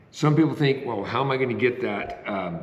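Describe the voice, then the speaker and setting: Over noticeable background noise, a man's voice rings with audible room echo. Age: 60s. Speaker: retiree vlogger. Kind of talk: casual talk to camera. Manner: halting, many fillers.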